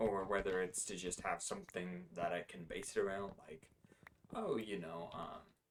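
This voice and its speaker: A man's very deep, low voice keeps a fairly even intonation. He speaks at a moderate pace. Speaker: gaming video creator. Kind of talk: casual gameplay commentary. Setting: home recording at night. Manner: relaxed, laid-back; hesitant, many fillers.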